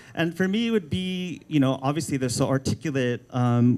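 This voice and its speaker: With a Filipino American accent, a man speaks at medium pitch in a dark, mellow tone with ordinary pitch variation. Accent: Filipino American accent, self-noted. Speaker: art director. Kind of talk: book launch talk. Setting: live event with audience. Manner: hesitant, many fillers and restarts; casual, informal.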